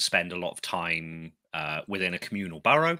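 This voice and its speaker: Recorded very cleanly over a silent background, a man with a Somerset accent speaks in a bright, sharp tone, the sound dry and close with no echo. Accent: Somerset accent, noticeable. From Somerset, England. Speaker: podcast host, tarantula keeper. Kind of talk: casual chat. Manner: clear; hesitant, many fillers.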